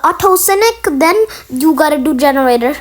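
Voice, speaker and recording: Over noticeable background noise, a woman speaks at a moderate pace in a high voice. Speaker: gaming youtuber reacting to video. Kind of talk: reaction commentary. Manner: halting.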